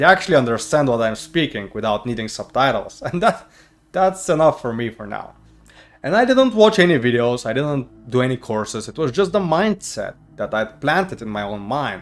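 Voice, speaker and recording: Music plays behind a man with a non-native accent who speaks at a moderate pace with big swings in loudness. His pitch is fairly high and moves in very wide swings. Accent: non-native English accent, improved. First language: not English. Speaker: YouTuber. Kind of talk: personal storytelling to camera.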